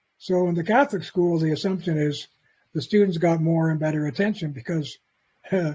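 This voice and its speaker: At a fairly quick pace, a man speaks in a fairly high pitch with a dark, mellow tone and ordinary pitch variation. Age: 80s+. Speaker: author and lecturer. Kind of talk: lecture. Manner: halting.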